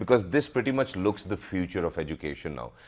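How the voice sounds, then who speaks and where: A man speaks very fast, with a quiet background behind him. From Pakistan. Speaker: TV show host. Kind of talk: TV interview. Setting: TV studio. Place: studio.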